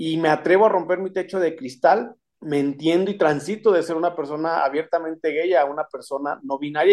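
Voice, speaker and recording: The pace runs fairly quick. Pitch variation is ordinary. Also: man. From Mexico, Saltillo, Coahuila. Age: 30s. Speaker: electoral court judge. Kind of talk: radio interview.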